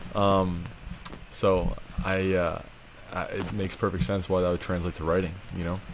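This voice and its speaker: Speaking with a very deep, low pitch, a man leaves long, frequent pauses, his intonation fairly even and room echo audible around him. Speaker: podcast co-host. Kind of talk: casual chat. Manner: fast when passionate.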